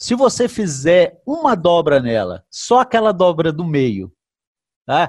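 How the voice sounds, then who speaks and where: The background is quiet. A man speaks at a fairly high pitch. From Brazil, Brasília. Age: 50s. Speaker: retired firefighter and banknote collector. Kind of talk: casual interview. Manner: halting.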